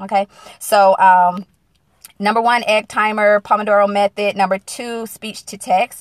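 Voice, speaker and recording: With an American accent, a woman speaks at medium pitch in a flat monotone. The sound is dry and close with no echo, and her loudness swings widely. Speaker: single-mom business coach. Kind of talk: live-stream casual talk. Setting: in a car.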